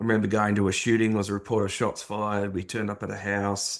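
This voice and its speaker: A man with an Australian accent and fairly low pitch at a moderate pace, on a very clean recording with a silent background. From Australia, Sydney. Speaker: former police officer. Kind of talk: interview testimony.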